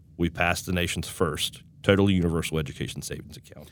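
A man with an Appalachian accent and a very deep, low pitch, talking at a fairly quick pace in a very clean recording over a silent background. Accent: Appalachian American. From West Virginia. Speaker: state director of a political advocacy group. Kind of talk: interview.

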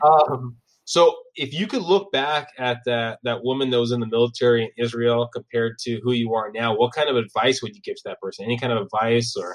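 With an unremarkable speaking voice, a man of medium pitch talks at a fairly quick pace, barely pausing, with ordinary pitch variation and big swings in loudness. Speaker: podcast host. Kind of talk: interview.

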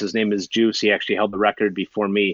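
A man speaks at a fairly low pitch with a Minnesotan accent. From US Minnesota. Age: 30s. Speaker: long-distance hiker and YouTuber. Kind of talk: casual interview chat.

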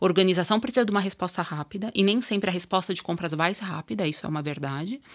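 The woman has an ordinary speaking voice, medium in pitch, with ordinary pitch variation. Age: 40s. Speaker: procurement manager. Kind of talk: interview. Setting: studio.

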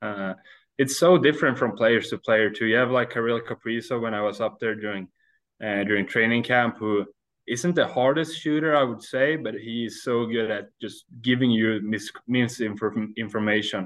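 A man speaks with a Swedish accent. His pitch varies in an ordinary way, at a moderate pace. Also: medium pitch for a man. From Sweden. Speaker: ice hockey goaltender. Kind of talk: interview. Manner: halting.

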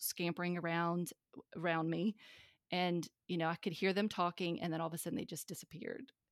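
A woman with a Southern US accent, fairly low in pitch, at a fairly quick pace and with fairly even intonation, on a very clean, dry, close recording with no echo and a silent background. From US South. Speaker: podcast host, unschooling advocate. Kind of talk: interview conversation.

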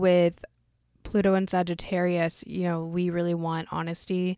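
The sound is dry and close, with no echo. The recording is very clean, with a silent background. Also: woman. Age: 20s. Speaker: astrology podcast host. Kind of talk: casual solo chat. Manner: quieter than usual.

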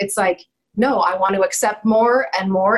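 A woman's voice, a little breathy, moves along at a medium speed. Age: 40s. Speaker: life coach. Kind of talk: interview. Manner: animated.

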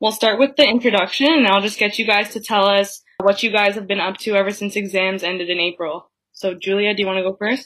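With hardly any pauses, a woman of medium pitch speaks at a very fast pace and keeps her intonation fairly even. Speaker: university student, guest interviewer. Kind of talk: casual interview.

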